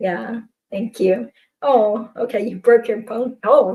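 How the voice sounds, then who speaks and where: Somewhat breathy, a woman speaks at a fairly slow pace and a fairly high pitch. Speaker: figure skating vlogger. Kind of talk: casual livestream chat.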